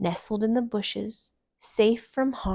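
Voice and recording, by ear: Someone reads aloud in a natural voice with ordinary pitch variation over a quiet background.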